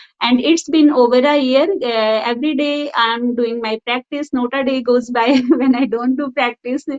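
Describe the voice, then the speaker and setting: A woman with an Indian accent talks at a high pitch and a fairly slow pace. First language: Hindi. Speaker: school teacher. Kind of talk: interview. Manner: halting.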